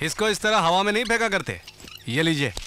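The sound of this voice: Doing a put-on character voice, a man talks at a fairly quick pace with a high pitch, big pitch swings, and a bright, sharp tone.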